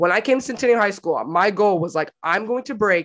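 On a very clean recording with a silent background, a woman at a medium pitch speaks very fast in an animated tone with lively intonation. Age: 20s. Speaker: podcast host and college track athlete. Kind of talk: casual chat.

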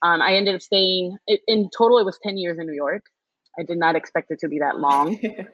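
Using an ordinary speaking voice, a woman with an American accent talks at a fairly quick pace, fairly low in pitch, with ordinary pitch variation. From Houston, Texas. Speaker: chef and restaurant owner. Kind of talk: casual interview.

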